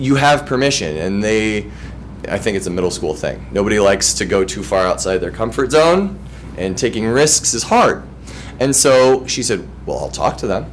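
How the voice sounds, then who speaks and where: The speaker talks at a moderate pace with very wide pitch swings and an animated tone, over noticeable background noise. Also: man, fairly low pitch for a man. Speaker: music teacher. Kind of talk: presentation. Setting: school board meeting.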